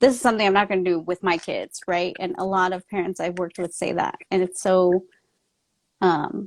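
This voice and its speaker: An unremarkable speaking voice with an American accent moves at a fairly quick pace. The intonation stays fairly even. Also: woman, medium pitch for a woman. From US, Mexican American family. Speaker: author and trauma coach. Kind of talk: casual interview chat.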